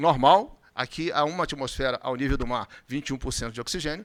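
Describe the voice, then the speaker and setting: This man talks at a fairly quick pace with lively intonation. His pitch sits fairly high. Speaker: physician lecturer. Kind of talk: conference lecture. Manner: fast.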